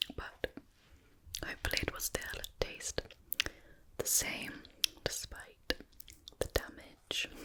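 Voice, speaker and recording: Whispering very slowly with long, frequent pauses, a woman keeps her loudness very even over noticeable background noise. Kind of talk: ASMR eating video with rambling. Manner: whispered.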